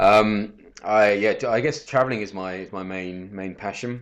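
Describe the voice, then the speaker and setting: Against a quiet background, a man with a southern English accent speaks at a moderate pace with ordinary pitch variation. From southern England. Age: 30s. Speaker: professional bettor. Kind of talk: casual interview.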